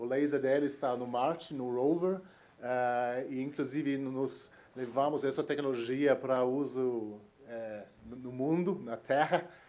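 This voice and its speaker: A man's fairly high-pitched voice, very slow in pace, with fairly even intonation. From Germany. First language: German (speaking Portuguese). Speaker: innovation executive. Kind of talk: conference talk. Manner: halting, many fillers.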